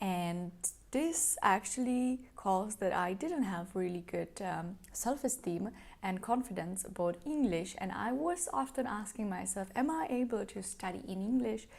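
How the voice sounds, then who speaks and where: A woman's somewhat breathy voice, medium in pitch, moves with lively intonation. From Czech Republic. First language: Czech. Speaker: YouTuber, study abroad advice. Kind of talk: vlog advice talk. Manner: hesitant with fillers.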